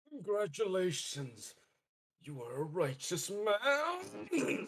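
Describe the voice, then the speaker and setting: A man's put-on character voice, high-pitched and strained, with very wide pitch swings at a very slow pace. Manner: strained, forced.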